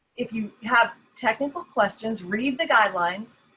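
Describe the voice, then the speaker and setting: With a Southern US accent, a woman speaks at a fairly high pitch in a bright, sharp tone with lively intonation. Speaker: genealogy society officer. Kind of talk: workshop presentation.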